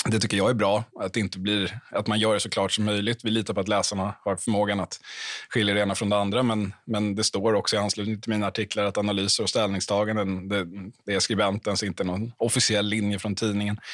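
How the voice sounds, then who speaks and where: At a fairly quick pace, a man speaks with fairly low pitch and monotone, flat intonation. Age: 30s. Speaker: political journalist. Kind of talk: panel discussion.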